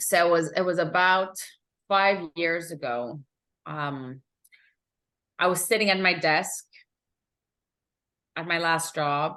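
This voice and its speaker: A woman with a Quebec accent, fairly low pitch, ordinary pitch variation, a bright, sharp tone, a very slow pace and long, frequent pauses, over a quiet background. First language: French (Italian learned first). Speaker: emotional intelligence coach. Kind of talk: interview.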